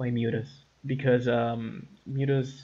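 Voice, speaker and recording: A man speaks at a fairly slow pace in a somewhat breathy voice with monotone, flat intonation. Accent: non-native. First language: not English. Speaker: gaming commentator. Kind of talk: gameplay commentary. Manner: halting, many repetitions and fillers.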